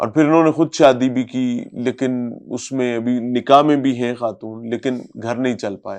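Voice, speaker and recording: Intonation stays fairly even in a plain, everyday voice. The background is quiet. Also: man. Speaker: interviewer. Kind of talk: interview commentary to camera.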